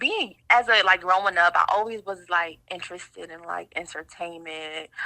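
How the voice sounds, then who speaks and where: A woman with an American accent speaks at a moderate pace and a fairly low pitch, her intonation fairly even but her loudness swinging widely. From upstate New York, Rochester. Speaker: blogger and show host. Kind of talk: podcast interview. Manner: casual, lots of fillers.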